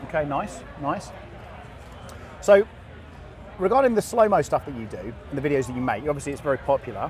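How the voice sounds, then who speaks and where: Over noticeable background noise, a man with a southern English accent talks very fast at a fairly high pitch, with very wide pitch swings. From England. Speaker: podcast host interviewing guests at an event. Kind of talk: casual live interview. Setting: live event floor. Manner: animated, chatty.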